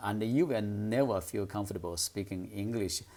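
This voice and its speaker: In a very clean recording with a silent background, a man with a Chinese accent speaks at a fairly low pitch with ordinary pitch variation. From China. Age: 50s. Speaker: English speaking coach. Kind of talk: tutorial. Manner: hesitant, many fillers.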